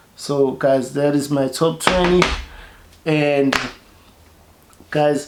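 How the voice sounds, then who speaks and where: A man's fairly high-pitched, monotone, flat delivery at a very slow pace, with long, frequent pauses, audible room echo and noticeable background noise. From South Africa. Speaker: fragrance reviewer, YouTuber. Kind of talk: product review vlog. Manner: halting, many repetitions and fillers.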